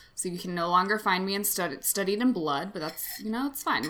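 Pitched at a medium level, a woman with an unremarkable speaking voice talks with lively intonation. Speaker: podcast co-host. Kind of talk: casual comedic chat, improv banter. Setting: video call.

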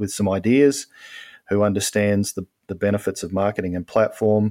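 A man with an Australian accent speaks at a moderate pace in a fairly low pitch, with fairly even intonation. The recording is very clean with a silent background, in a dry, close sound with no echo. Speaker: novelist. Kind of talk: casual interview.

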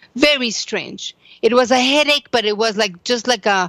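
Speaking with a Spanish accent, a woman uses ordinary pitch variation. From Mexico. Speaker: psychotherapist and author. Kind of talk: interview testimony.

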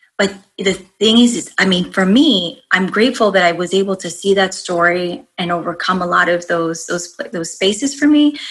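The speech has lively intonation and hardly any pauses, moving at a moderate pace. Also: woman, medium pitch for a woman. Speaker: life coach. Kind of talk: casual interview chat.

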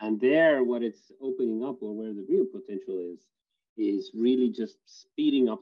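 This man's voice is a normal speaking voice at a medium pitch, with big swings in loudness. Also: ordinary pitch variation, moderate pace. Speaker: government digital construction head, panelist. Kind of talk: panel discussion.

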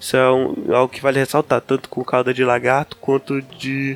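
Music sits in the background as a man speaks at a moderate pace. His intonation is monotone and flat. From Belém, Pará, Brazil. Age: 20s. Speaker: biologist. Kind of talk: casual chat.

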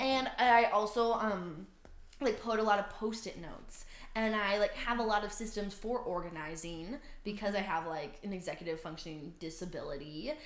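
A woman with an American accent, medium pitch and ordinary pitch variation, amid noticeable background noise. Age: 20s. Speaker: podcast co-host. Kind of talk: casual chat. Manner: fast.

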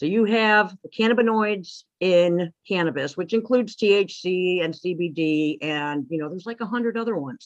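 This woman has a normal speaking voice, medium in pitch, with lively intonation at a moderate pace. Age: 50s. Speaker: author and pagan high priestess. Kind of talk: casual interview chat. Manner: laughs often.

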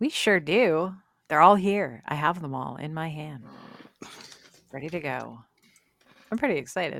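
A woman speaks with a very deep, low pitch and vocal fry. Her loudness swings widely, and long, frequent pauses break up her speech. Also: lively intonation, moderate pace. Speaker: podcast co-host. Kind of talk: casual chat.

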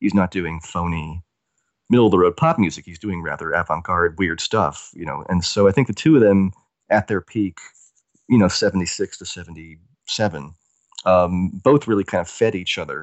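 A man with an American accent, a very deep, low pitch, ordinary pitch variation and big swings in loudness. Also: moderate pace. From US South. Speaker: music writer. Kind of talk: interview.

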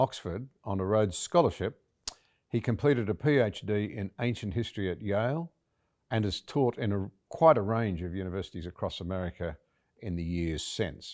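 In an ordinary speaking voice, a man with a fairly low pitch talks at a moderate pace with lively intonation, the sound dry and close with no echo on a very clean recording with a silent background. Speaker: interviewer, podcast host. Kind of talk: interview conversation. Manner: formal.

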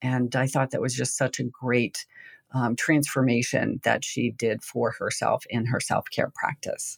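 The sound of this woman's voice is dry and close, with no echo. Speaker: meditation teacher. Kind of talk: guided meditation. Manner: slow, soft, calm and gentle.

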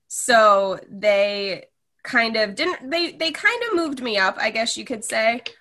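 In a normal speaking voice, a woman talks at a fairly high pitch with lively intonation. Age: 20s. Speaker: recent college graduate. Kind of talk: casual interview.

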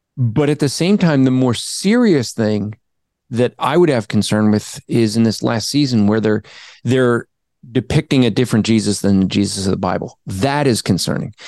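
A man with an American accent speaks at a moderate pace in an unremarkable speaking voice with ordinary pitch variation. The sound is dry and close with no echo, over a quiet background. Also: medium pitch for a man, very even loudness. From New Jersey. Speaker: apologist, author and podcaster. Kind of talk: casual Q&A interview answering theology questions.

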